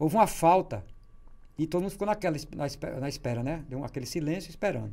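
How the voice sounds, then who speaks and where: A man talks at a very fast pace. There is vocal fry in his voice. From Natal, Rio Grande do Norte, Brazil; Rio Grande do Norte, Brazil. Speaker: writer and columnist; interview guest. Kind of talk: interview. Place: studio. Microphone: studio mic.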